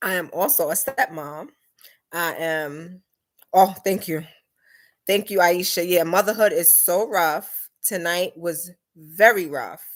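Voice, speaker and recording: In a very clean recording with a silent background, a woman with a New York accent speaks at a fairly slow pace with long, frequent pauses. Her pitch is fairly low, her pitch variation ordinary, and her tone animated. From New York City, the Bronx. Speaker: vlogger. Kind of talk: live stream Q&A. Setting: live stream on laptop.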